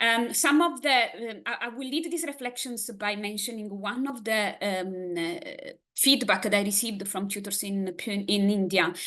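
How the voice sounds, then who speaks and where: With an Italian accent, a woman talks at a moderate pace with hardly any pauses, her fairly high, bright, sharp voice full of lively intonation amid audible room echo. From Italy. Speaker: academic presenter. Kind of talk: conference presentation.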